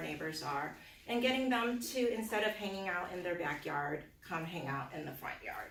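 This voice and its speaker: A woman's voice comes with audible room echo. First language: not English. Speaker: political candidate. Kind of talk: campaign speech. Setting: community meeting with audience. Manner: hesitant, many fillers.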